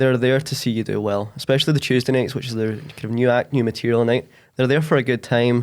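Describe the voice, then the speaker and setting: A west of Scotland accent at a fairly quick pace with fairly even intonation, in a very clean recording with a silent background. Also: man. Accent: west of Scotland Scottish. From Scotland, Ayrshire west coast. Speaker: podcaster and stand-up comedian. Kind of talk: casual chat.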